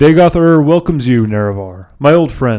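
A man performs a put-on character voice at a medium pitch. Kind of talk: villainous monologue. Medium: read story. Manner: grandiose, theatrical.

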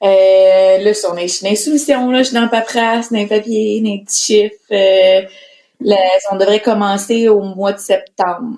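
With fairly even intonation, the woman's voice sits at a medium pitch. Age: 20s. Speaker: entrepreneur. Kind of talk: casual chat.

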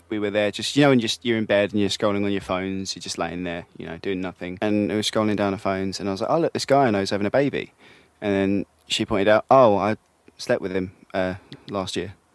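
A man's fairly low voice at a fairly quick pace, fairly even in intonation, dry and close with no echo, in a very clean recording with a silent background. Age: 20s. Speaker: interviewee sharing experience of jealousy. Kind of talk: personal testimony. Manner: halting, many fillers.

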